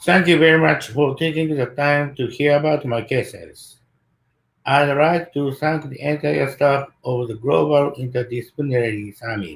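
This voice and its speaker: His voice is somewhat breathy and fairly high in pitch. The man's pitch varies in an ordinary way. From Japan, Kobe. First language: Japanese. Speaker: dentist, implantologist. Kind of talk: lecture. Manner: slow.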